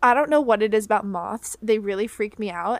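With an American accent, a woman with a fairly high pitch and ordinary pitch variation talks at a moderate pace in an unremarkable speaking voice, the sound dry and close with no echo. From Florida. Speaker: podcast host. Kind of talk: casual chat.

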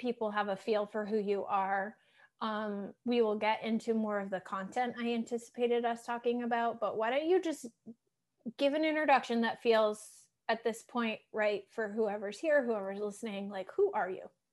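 A woman speaks with an American accent in a fairly high pitch. Her pace is moderate, against a quiet background. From Massachusetts. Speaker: podcast host and life coach. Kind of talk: casual interview chat. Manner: animated.

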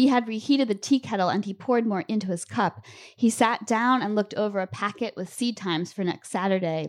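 On a very clean recording with a silent background, a woman with an American accent uses a normal speaking voice at medium pitch with ordinary pitch variation. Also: fairly quick pace. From Lancaster, Pennsylvania. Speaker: author. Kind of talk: reading aloud. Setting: stage with audience.

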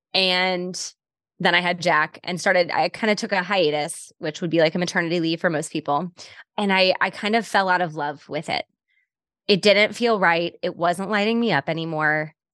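A woman with a plain, everyday voice speaks at a fairly low pitch and a moderate pace, her intonation fairly even, in a dry, close sound with no echo against a quiet background. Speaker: podcast host and business coach. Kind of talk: casual interview.

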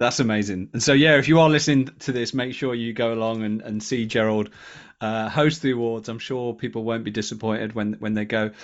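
A man talks with an unremarkable speaking voice. His pitch is medium and his pace fairly quick. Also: fairly even intonation. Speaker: podcast co-host. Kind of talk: casual chat.

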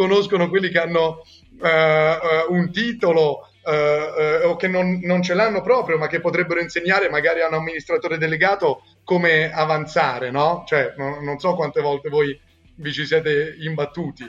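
Keeping his intonation fairly even, a high-pitched man talks at a moderate pace. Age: 20s. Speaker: founder of a student consulting network. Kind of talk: podcast interview. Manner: hesitant with fillers.

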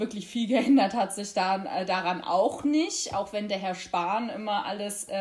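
Over noticeable background noise, a woman at medium pitch speaks at a fairly slow pace with ordinary pitch variation. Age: 20s. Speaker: youth party chair and lawyer. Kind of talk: interview.

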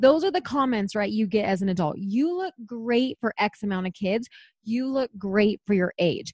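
Somewhat breathy and fairly high-pitched, a woman speaks at a moderate pace with an animated tone and lively intonation, the sound dry and close with no echo against a quiet background. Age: 30s. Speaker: podcast co-host. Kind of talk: casual chat.

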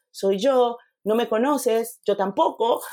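A woman with an unremarkable speaking voice talks fairly high in pitch, varying it in an ordinary way. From Panama. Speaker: photographer and mentor. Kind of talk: interview conversation.

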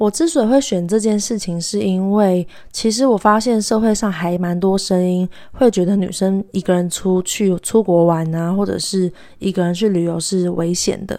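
Speaking at a moderate pace, a woman with medium pitch and a dark, mellow tone shows ordinary pitch variation. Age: 20s. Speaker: podcast host and graduate student. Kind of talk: solo podcast monologue.

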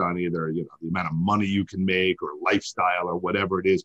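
A man with an American accent and a very deep, low pitch speaks at a very fast pace against a quiet background. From New York. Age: 40s. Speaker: oral surgeon. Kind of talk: interview.

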